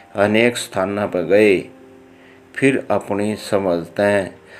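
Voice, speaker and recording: Over background music, a man speaks at a fairly low pitch with fairly even intonation. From Haryana. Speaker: lawyer. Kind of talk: religious book narration in dialect.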